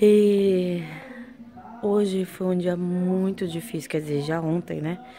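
Over light background noise, a woman talks at a very slow pace with fairly even intonation. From Brazil, Porto Velho, Rondônia (North). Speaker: vlogger. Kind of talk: casual vlog. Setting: outdoors after a run. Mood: tired, recounting hard day.

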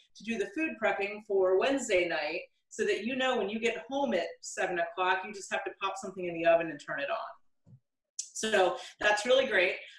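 A woman at a fairly quick pace, ordinary pitch variation, a quiet background and audible room echo. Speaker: home cook host. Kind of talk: tutorial. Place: kitchen. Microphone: camera far.

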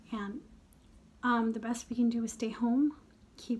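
A woman speaks over light noise in the background. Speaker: beauty vlogger. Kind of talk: casual vlog chat. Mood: earnest, hopeful. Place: home room. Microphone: phone near.

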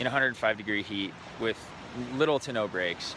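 A man of medium pitch speaks at a very slow pace with ordinary pitch variation. The sound is dry with no echo, though noticeable background noise is present. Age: 30s. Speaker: entrepreneur vlogger. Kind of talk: casual vlog monologue. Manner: casual, hesitant with fillers. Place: beach. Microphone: phone near.

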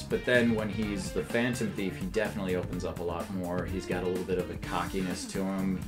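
A man speaks in a playful tone while clear music plays in the background. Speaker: voice actor. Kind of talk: interview answer. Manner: jokey, playful. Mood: relaxed, jokey. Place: studio. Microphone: lapel.

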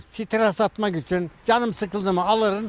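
A man's dry voice with no echo, at a fairly slow pace, over light background noise. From Turkey, Denizli (Çameli). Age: 80s+. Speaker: kaval and sipsi player, instrument maker. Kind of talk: interview answer. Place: garden.

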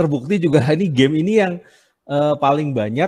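A man's dark, mellow voice at a very fast pace, ordinary pitch variation, and a quiet background. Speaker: webinar speaker. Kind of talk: casual talk presentation. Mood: enthusiastic, laughing. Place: home room. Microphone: headset.

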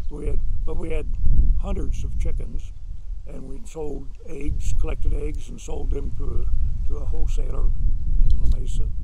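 Over loud background noise, a man speaks with long, frequent pauses in a dry recording with no echo. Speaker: oral history interviewee. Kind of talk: oral history interview, reminiscing. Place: garden.

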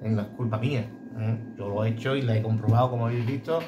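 A man with a medium pitch speaks using fairly even intonation. Noticeable background noise can be heard. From Andalusia, Bay of Cádiz. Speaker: blade sharpener for dog grooming clippers. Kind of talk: casual tutorial video. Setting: workshop. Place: workshop. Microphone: phone near.

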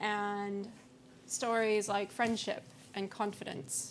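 Against light background noise, a woman speaks at a fairly high pitch. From US-Canada border region. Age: young. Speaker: brand strategist; conference speaker. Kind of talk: conference talk. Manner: hesitant, many fillers. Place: hall. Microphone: podium.

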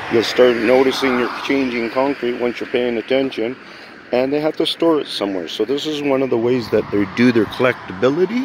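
A man talks at a fairly quick pace with ordinary pitch variation. The sound is dry with no echo, but background noise is noticeable. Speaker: conspiracy video maker; amateur vlogger. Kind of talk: walking vlog monologue. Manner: loud. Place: street. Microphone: phone near.

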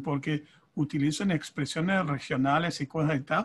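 A man with a fairly high pitch and ordinary pitch variation speaks at a fairly slow pace. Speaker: conference interpreter and author. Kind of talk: panel discussion. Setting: video call. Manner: halting, repeats words. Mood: warm, grateful. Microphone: video call.

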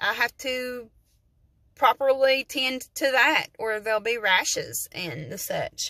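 In a quiet background, a woman speaks very slowly with a high pitch and an Appalachian accent. The sound is dry with no echo, and her tone is bright and sharp. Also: ordinary pitch variation. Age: 40s. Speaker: vlogger. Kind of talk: casual vlog monologue. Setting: in a parked truck. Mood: candid, chatty. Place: car. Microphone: phone near.

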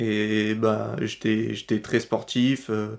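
On a very clean recording with a silent background, a man is heard talking. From France, Vaucluse near Avignon. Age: 19. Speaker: university student. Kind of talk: testimony.

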